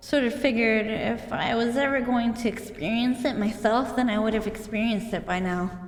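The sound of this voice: The intonation is fairly even. It comes from an unforced reading voice.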